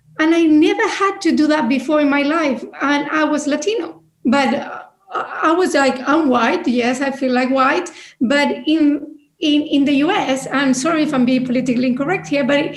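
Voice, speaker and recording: A woman with a non-native accent talks at a moderate pace in a high pitch with ordinary pitch variation. Her loudness is very even, and there is audible room echo. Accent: non-native, non-British. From Chile, outside Santiago. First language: Spanish. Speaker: business leader, panelist. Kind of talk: panel discussion.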